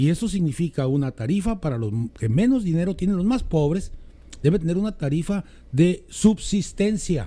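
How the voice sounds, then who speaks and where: Pitched high for a man, his voice has a dark, mellow tone, lively intonation and a moderate pace. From Mexico, Mexicali. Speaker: political commentator. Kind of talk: casual political chat.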